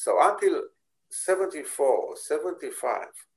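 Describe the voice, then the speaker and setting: This man speaks with a Romanian accent. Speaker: pastor and theology professor. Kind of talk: interview.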